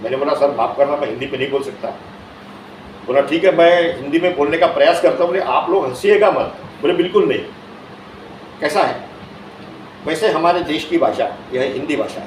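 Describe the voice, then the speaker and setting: Over noticeable background noise and audible room echo, a man with a high pitch talks at a moderate pace, leaving long, frequent pauses. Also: ordinary pitch variation. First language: Marathi (speaking Hindi). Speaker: invited speaker. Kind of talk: speech at official event.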